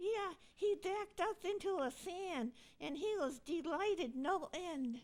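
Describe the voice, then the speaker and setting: This female-sounding, cartoonish character voice is extremely high-pitched and moves at a fairly slow pace. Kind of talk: church puppet skit dialogue.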